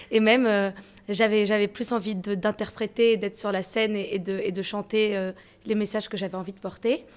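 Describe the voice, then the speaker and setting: A woman's medium-pitched, monotone voice with flat intonation at a moderate pace. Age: young. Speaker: rap electro artist. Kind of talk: interview.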